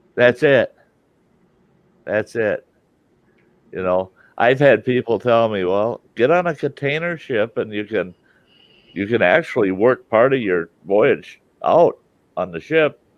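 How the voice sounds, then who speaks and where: Speaking with a Midwestern accent, a man at a medium pitch uses lively intonation at a fairly slow pace, with long, frequent pauses. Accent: American Midwest. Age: 60s. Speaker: live stream host. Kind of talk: casual chat.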